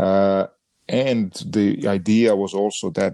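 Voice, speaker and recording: Recorded in a dry, close sound with no echo, a man speaks at a fairly low pitch in a Croatian accent. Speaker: podcast co-host, sports brand designer. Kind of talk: casual chat. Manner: halting, with frequent fillers.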